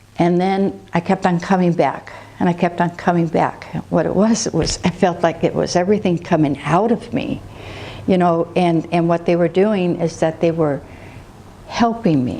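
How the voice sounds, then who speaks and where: A woman at a fairly low pitch and moderate pace, with ordinary pitch variation and noticeable background noise. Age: 60s. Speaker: patient giving testimonial, medical field worker. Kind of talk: testimony. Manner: halting.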